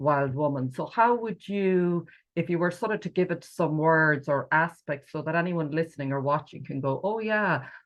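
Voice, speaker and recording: At a moderate pace with hardly any pauses, a woman speaks at a fairly low pitch with ordinary pitch variation in an ordinary speaking voice. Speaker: podcast host. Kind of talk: podcast interview.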